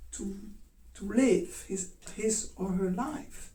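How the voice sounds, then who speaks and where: A woman's fairly high voice with a dark, mellow tone, vocal fry and lively intonation, in audible room echo. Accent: Dutch. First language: Dutch. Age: 60s. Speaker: dance teacher. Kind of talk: talk. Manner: halting.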